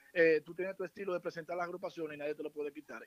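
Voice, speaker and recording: The voice belongs to a man. The sound is dry and close, with no echo at all. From Santiago, Dominican Republic. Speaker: musician. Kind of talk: casual chat.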